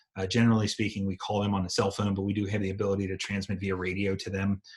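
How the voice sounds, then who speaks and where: Somewhat breathy, a man speaks at a very fast pace with a fairly low pitch. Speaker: EMT instructor and firefighter. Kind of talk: lecture.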